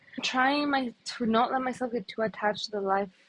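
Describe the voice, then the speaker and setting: A woman with a Spanish accent and lively intonation, in a dry, close sound with no echo. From Ecuador, then Canada from age 16. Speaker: vlogger, policy intern. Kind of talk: personal vlog reflection.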